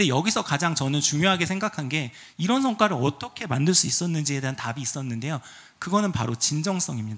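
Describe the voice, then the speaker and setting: Lively intonation at a very fast pace, over a quiet background. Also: man, fairly high pitch for a man. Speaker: venture capital CEO, conference speaker. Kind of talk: conference presentation. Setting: stage with audience. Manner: formal, explanatory, uses fillers. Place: hall. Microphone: handheld.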